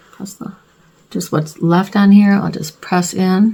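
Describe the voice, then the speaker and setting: A woman speaks at a fairly slow pace, her voice somewhat breathy. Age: 60s. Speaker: beauty vlogger. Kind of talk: makeup tutorial. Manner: casual, chatty.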